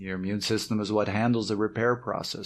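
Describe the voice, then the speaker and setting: On a very clean recording with a silent background, a man with a fairly low pitch speaks with a slight Canadian accent. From Canada. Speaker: cycling coach and podcast co-host. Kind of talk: podcast summary segment.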